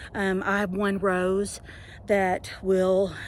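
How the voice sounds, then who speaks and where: A woman with a Southern US accent. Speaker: home gardener. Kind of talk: casual talk to camera. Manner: hesitant, conversational.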